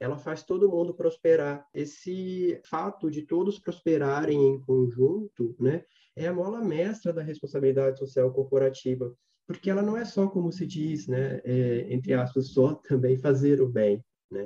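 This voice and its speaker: Somewhat breathy and dark, mellow in tone, a man speaks at a fairly high pitch and fairly slow pace with lively intonation. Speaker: social responsibility consultant. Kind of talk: guided meditation; casual chat.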